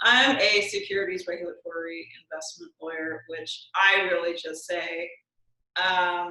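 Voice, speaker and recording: Loudness swings widely while the speech moves at a fairly slow pace with fairly even intonation. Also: woman, fairly low pitch for a woman. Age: 30s. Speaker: lawyer. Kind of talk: interview. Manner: soft-spoken.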